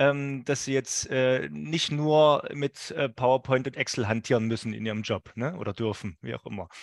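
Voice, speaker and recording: A man talks at a moderate pace and medium pitch with lively intonation and hardly any pauses. The sound is dry and close with no echo against a quiet background. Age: 40s. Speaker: podcast host. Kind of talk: interview. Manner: hesitant, many fillers.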